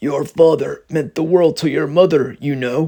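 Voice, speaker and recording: A man puts on a character voice that is raspy and fairly high in pitch. He keeps a moderate pace and fairly even intonation. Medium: read story. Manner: warm, grandfatherly.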